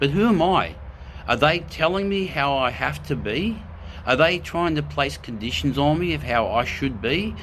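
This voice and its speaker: Speaking with an Australian accent, a man uses a fairly high pitch, vocal fry and very wide pitch swings at a moderate pace, with audible room echo around him. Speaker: spiritual video host. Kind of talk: live spiritual talk. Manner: animated; loud.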